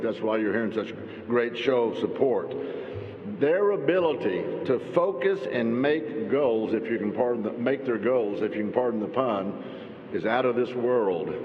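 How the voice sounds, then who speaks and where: Recorded with noticeable background noise and audible room echo, a man with an American accent talks at a medium pitch. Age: 60s. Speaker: politician. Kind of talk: speech at public event. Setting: stage with audience. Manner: animated.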